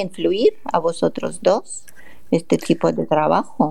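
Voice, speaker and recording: With a Russian accent, a woman speaks in a dark, mellow tone marked by vocal fry. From Russia, Moscow. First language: Russian (speaking Spanish). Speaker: radio host. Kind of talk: radio interview.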